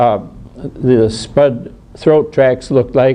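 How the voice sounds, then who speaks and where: A man at medium pitch speaks at a fairly slow pace. Noticeable noise runs in the background. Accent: American. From US Midwest (Wisconsin, Minnesota). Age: 80s+. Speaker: retired doctor and rail photographer. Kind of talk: illustrated talk to an audience. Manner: halting, many fillers.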